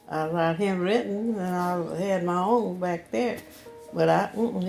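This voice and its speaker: A woman's medium-pitched voice with a Southern US accent at a fairly slow pace, music playing in the background. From Louisiana, US South. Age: 80s+. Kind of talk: interview answer.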